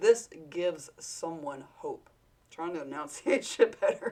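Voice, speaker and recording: A woman talks with an American accent at a fairly slow pace. Her loudness swings widely. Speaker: vlogger speaking to camera. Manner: casual, rambling, many fillers and self-corrections.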